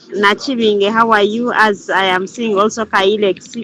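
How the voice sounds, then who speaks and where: A woman with a fairly high pitch talks at a moderate pace in a flat monotone, with noticeable background noise behind her. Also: very even loudness. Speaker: group leader / crypto trainer. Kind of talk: online group Q&A session. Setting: Zoom video call. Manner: halting, repetitive.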